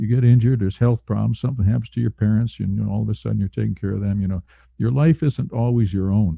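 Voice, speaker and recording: A man with a fairly low pitch and a dark, mellow tone speaks somewhat breathily, with ordinary pitch variation and a dry, close sound with no echo. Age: 70s. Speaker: early retiree. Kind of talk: casual chat. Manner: halting.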